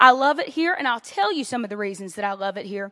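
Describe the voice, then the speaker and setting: In a raised, projected voice with an American accent, a woman speaks in a bright, sharp, animated tone, her pitch swinging very widely. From Louisiana, US South. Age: 30s. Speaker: guest preacher. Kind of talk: sermon. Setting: church.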